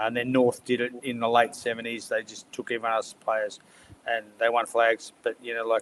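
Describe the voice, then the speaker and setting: With an Australian accent, a man talks at a medium pitch in a monotone, flat intonation. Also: moderate pace. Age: 60s. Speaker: football panellist. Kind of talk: casual chat.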